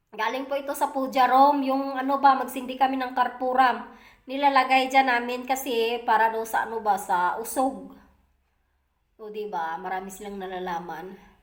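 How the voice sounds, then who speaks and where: Woman speaking high, with ordinary pitch variation. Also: moderate pace. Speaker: vlogger. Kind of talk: casual vlog talk. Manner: halting, many fillers.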